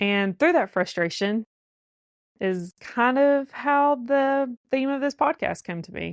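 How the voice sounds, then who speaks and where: A woman with a Southern US accent speaks with lively intonation against a quiet background, the sound dry and close with no echo. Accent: Southern drawl. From US South. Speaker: podcast host. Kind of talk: podcast monologue.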